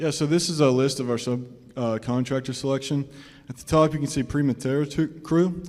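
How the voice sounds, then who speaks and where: Fairly quickly and with fairly even intonation, a man talks with a Southern US accent. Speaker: student team presenter. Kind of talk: student project presentation.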